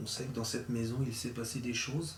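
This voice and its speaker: Soft-spoken and calm, a man with a medium pitch talks over audible room echo. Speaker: paranormal investigator. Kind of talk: spirit-calling session during night investigation. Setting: dark room in an old mill at night. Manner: slow, calm and respectful.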